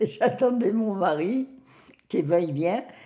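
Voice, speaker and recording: Here a woman is speaking. Her pitch moves in an ordinary way. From Algeria. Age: 90s. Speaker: elderly woman sharing life story. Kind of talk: personal testimony.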